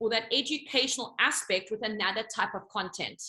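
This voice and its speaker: A woman speaks. Her tone is bright and sharp. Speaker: business coach. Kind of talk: coaching talk on a group call. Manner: fast; animated.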